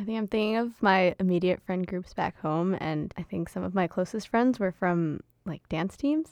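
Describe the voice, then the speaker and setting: A woman talks with hardly any pauses in an ordinary speaking voice, her pitch varying in an ordinary way and the sound dry and close with no echo. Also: medium pitch for a woman, moderate pace, quiet background. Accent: American. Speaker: undergraduate student, dialogue facilitator. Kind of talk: casual conversation.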